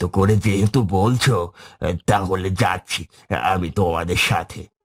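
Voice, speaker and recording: In a very clean recording with a silent background, a man uses a cartoonish character voice, fairly low in pitch, at a fairly slow pace with fairly even intonation. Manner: soft, humble.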